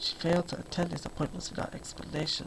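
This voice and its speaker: The voice is soft-spoken, with noticeable background noise behind it. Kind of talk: audiobook reading.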